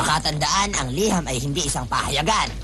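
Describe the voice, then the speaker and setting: Over loud background music, someone does a put-on character voice at a fairly quick pace. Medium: fan dub. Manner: wry, teasing.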